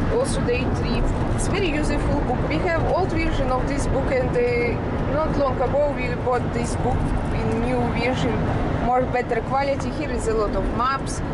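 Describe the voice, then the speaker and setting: A woman talks at an unhurried, moderate speed while loud noise fills the background. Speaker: passenger vlogger. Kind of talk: casual vlog chat. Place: car. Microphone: phone near.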